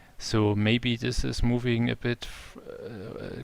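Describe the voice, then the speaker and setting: Here a man speaks with a German accent. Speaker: game developer. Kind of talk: live stream tutorial. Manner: halting.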